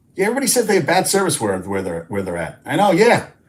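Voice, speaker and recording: Vocal fry runs through this man's speech. He swings his pitch very widely. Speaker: sports talk show host. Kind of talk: live stream sports talk. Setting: live stream. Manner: animated.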